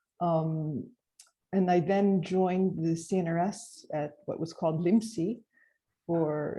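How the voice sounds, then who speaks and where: A woman speaks with a fairly low pitch and a dark, mellow tone. Her voice is somewhat breathy, and her intonation stays fairly even. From United States. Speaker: speech research scientist. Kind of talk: panel discussion introduction.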